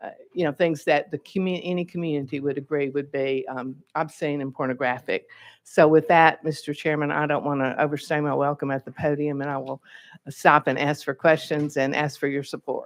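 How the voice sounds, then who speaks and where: A woman's very deep, low voice, monotone and flat, at a fairly quick pace, with a dry, close sound, no echo, and a quiet background. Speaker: state legislator, bill sponsor. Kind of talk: committee hearing testimony. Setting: legislative hearing room at podium.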